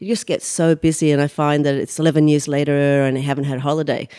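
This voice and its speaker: With an Australian accent, a woman with a very deep, low pitch and a dark, mellow tone talks very fast and fairly evenly, in a very clean recording with a silent background. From Australia, Sydney outskirts. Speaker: humanitarian relief founder. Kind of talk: interview conversation. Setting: guest's home.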